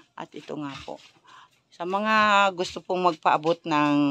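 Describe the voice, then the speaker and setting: A woman talks at a very slow pace with ordinary pitch variation. The sound is dry and close with no echo, against a quiet background. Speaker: charity vlogger. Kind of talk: vlog walkthrough and interview. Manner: loud.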